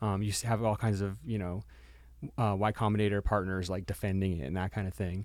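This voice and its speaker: The recording is very clean, with a silent background. A man speaks at a fairly quick pace in a plain, everyday voice, fairly low in pitch with ordinary pitch variation. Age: 40s. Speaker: startup investor. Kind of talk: casual chat. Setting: studio.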